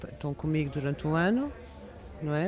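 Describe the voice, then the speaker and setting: Noticeable background noise sits behind a woman speaking at a moderate pace in a very deep, low pitch. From France. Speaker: makeup artist. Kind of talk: interview.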